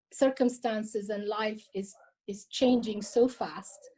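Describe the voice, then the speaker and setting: A woman speaks very slowly in a fairly high, somewhat breathy voice with a dark, mellow tone. Her intonation stays fairly even. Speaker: cultural heritage collector and author. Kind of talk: interview. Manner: hesitant, with many fillers and repetitions.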